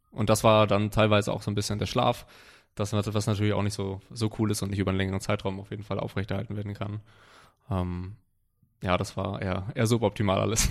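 Talking at a very fast pace, a man holds a fairly low pitch and monotone, flat intonation on a very clean recording with a silent background. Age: 20s. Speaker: powerlifter and online coach. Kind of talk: casual chat. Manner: halting, many fillers and repetitions.

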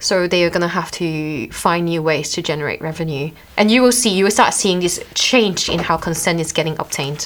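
A woman talks at a fairly quick pace with a fairly low pitch and ordinary pitch variation. Noticeable background noise is present. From Malaysia. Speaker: privacy advisor. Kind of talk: casual interview. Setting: studio.

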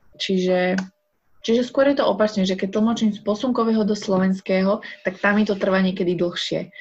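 Her somewhat breathy voice keeps a very even loudness, and the woman's intonation stays fairly even. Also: medium pitch for a woman, moderate pace. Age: 20s. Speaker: sign language interpreter and psychologist. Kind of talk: casual interview. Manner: halting.

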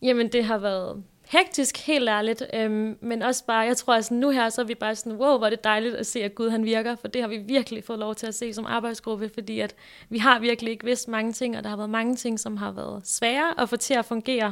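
A woman with an ordinary speaking voice, fairly high pitch and a fairly quick pace, on a very clean recording with a silent background. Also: fairly even intonation. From Denmark, North Zealand (Græsted/Hillerød). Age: 20s. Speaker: youth ministry leader. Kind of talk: casual interview. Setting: small makeshift studio at a summer camp.

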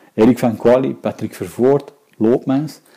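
At a moderate pace, a man speaks in a dark, mellow tone with vocal fry. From Antwerp, Belgium. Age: 50s. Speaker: interviewee. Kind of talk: interview.

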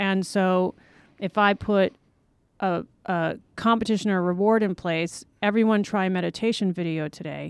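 A woman with an ordinary speaking voice talks at a moderate pace and medium pitch, with fairly even intonation, in a very clean recording with a silent background. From Los Angeles, US. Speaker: wellness advocate, online yoga business owner. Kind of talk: casual interview. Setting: studio.

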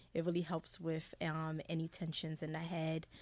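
Here is a woman with a normal speaking voice. She talks at a fairly slow pace and a fairly low pitch. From Haiti, raised in US from age seven. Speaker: essential oils wellness advocate. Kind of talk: radio interview.

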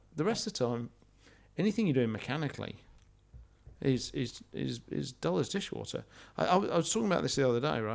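A man with a British accent, vocal fry and very wide pitch swings, at a fairly quick pace, on a very clean recording with a silent background. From Britain. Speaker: podcast co-host. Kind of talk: casual chat. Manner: halting.

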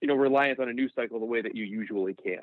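The speaker is a man with ordinary pitch variation. He talks at a very fast pace. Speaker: sports TV producer and stats analyst. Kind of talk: podcast interview.

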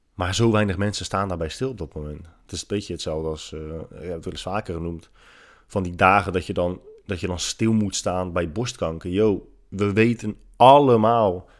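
A man talks with lively intonation on a very clean recording with a silent background. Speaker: podcast host and fitness writer. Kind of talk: casual solo monologue. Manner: hesitant, many filler sounds.

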